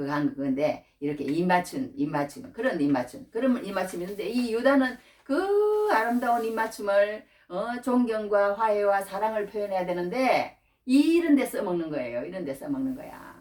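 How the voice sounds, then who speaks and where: Speaking at a moderate pace with a Gyeongsang accent, a woman uses a fairly high pitch that swings very widely. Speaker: preacher. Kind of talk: sermon. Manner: repetitive, halting.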